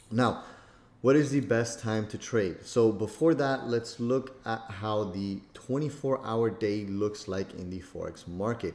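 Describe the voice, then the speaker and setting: Fairly slow male speech in an unremarkable speaking voice, medium in pitch with ordinary variation. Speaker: trading course instructor. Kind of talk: tutorial. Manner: casual, filler-heavy.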